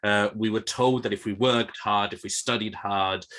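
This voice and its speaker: Delivered at a moderate pace, the voice has a bright, sharp tone and fairly even intonation. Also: man, quiet background. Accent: British. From Spain. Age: 30s. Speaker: classics researcher. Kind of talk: panel discussion. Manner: halting, many repetitions.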